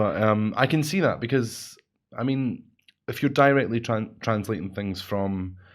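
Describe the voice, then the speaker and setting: A man with a Scottish accent at a fairly slow pace. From Scotland. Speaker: radio host. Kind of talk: casual chat.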